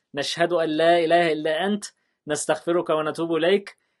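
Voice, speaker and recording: Against a quiet background, a man with a high pitch speaks at a fairly slow pace. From Egypt. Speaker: YouTuber, former teacher. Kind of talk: tutorial. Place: studio.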